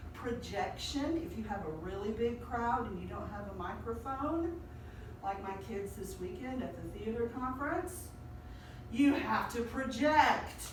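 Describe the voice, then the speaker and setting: A woman's high-pitched, animated voice in a Southern US accent, fairly slow with lively intonation and big swings in loudness, amid noticeable background noise and audible room echo. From US South, Sand Mountain, Alabama. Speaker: high school speech teacher. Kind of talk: lecture.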